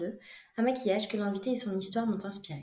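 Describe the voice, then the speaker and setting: The tone is dark and mellow, with lively intonation. The voice is somewhat breathy. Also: woman. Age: 20s. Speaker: podcast host, dentist. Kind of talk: scripted narration.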